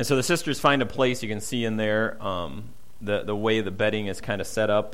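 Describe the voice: The speaker reads aloud plainly, keeping the intonation fairly even.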